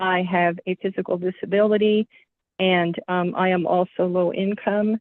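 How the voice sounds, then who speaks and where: The speaker talks at a moderate pace in a monotone, flat intonation with very even loudness. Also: woman, medium pitch for a woman. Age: 70s. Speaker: committee applicant. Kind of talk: public comment. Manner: halting.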